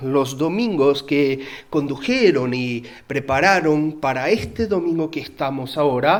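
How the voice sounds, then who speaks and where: Audible room echo surrounds a speaker with a Uruguayan accent who talks at a fairly slow pace with lively intonation. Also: man. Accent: Uruguayan Spanish, noticeable. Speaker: pastor. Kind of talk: sermon. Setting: church.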